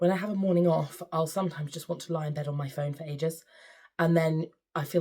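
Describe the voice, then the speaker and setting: A woman speaks fairly quickly with an English accent. Her tone is dark and mellow, and somewhat breathy. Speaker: sewing vlogger and choir leader. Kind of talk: casual vlog chat.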